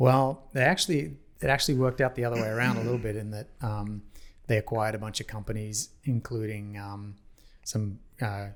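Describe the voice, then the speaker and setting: The recording is very clean with a silent background as a man with an Australian accent talks at a fairly quick pace and a fairly low pitch. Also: ordinary pitch variation. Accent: Australian, noticeable. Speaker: parking industry executive. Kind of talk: podcast interview.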